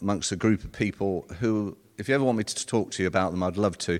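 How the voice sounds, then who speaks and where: Heard in a very clean recording with a silent background, the voice carries a southern English accent and ordinary pitch variation. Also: man. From North London, England. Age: 60s. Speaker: retired solicitor. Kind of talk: personal testimony talk. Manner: halting.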